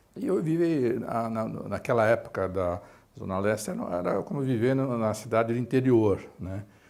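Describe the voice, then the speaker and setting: At a moderate pace, a man with a medium-pitched voice speaks with lively intonation. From Brazil, São Paulo east side. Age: 60s. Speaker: medical professor. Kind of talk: life story interview. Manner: halting, many fillers.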